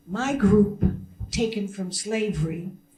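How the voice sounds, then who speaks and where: A woman in an American accent, fairly slow with lively intonation, with audible room echo. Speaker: diplomat. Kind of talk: press conference speech. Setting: press conference at a consulate. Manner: animated.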